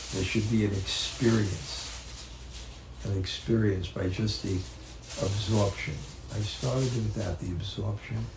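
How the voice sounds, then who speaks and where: In an American accent, the speaker goes at a fairly slow pace with ordinary pitch variation, amid noticeable background noise and audible room echo. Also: man, fairly low pitch for a man. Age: 70s. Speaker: spiritual teacher. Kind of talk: religious talk. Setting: home gathering with audience. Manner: halting.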